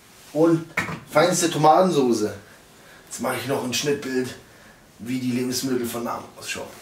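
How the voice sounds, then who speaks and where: The pace is fairly slow, with audible echo in the room. Light background noise sits underneath. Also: man. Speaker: cooking show host. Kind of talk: casual cooking show presentation. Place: kitchen.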